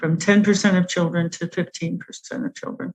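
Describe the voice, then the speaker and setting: A woman with an American accent talks in a fairly low, somewhat breathy voice with fairly even intonation, the sound dry and close with no echo. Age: 70s. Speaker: food addiction expert. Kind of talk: interview.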